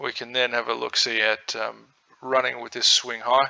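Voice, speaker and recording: With an Australian accent, a man talks at a fairly slow pace in a relaxed tone. His medium-pitched voice is bright and sharp, its intonation monotone and flat. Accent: Australian, twangy. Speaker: crypto trading educator. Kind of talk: tutorial. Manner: casual, relaxed.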